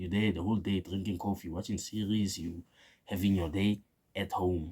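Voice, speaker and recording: With a dark, mellow tone and fairly low pitch, a man speaks at a moderate pace with fairly even intonation. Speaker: opinion vlogger. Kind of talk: casual opinion monologue. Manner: casual, slangy; stuttering at times.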